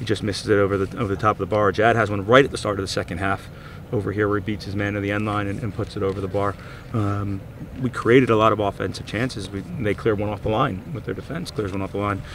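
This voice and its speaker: A man at a very fast pace and fairly low pitch, his intonation fairly even, dry with no echo against light background noise. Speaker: head coach. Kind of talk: interview answer. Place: stadium.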